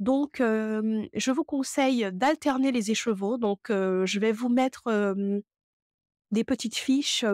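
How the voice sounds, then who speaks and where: A woman with a fairly high pitch, ordinary pitch variation and a fairly slow pace, in a dry sound with no echo over a quiet background. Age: 30s. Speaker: knitting youtuber and yarn dyer; knitting youtuber. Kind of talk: tutorial. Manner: hesitant, many filler sounds. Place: home room. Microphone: lapel.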